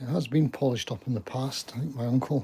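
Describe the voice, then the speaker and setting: A man with a Scottish accent talks at a fairly quick pace in a medium-pitched, somewhat breathy voice. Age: 70s. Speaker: gardening vlogger. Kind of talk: casual live stream chat.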